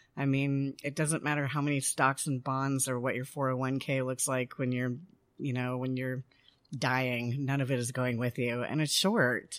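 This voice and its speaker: Speaking in an American accent, the voice moves at a fairly slow pace in a flat monotone, recorded very cleanly against a silent background. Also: woman, very deep, low pitch for a woman. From Colorado (Denver). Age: 40s. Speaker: bar co-owner. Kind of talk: interview conversation. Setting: in a bar.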